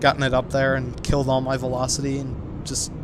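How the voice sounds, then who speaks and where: Noticeable background noise and audible room echo fill the recording. A man speaks at a medium pitch with an American accent. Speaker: gaming YouTuber. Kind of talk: gameplay commentary. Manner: casual, halting with fillers.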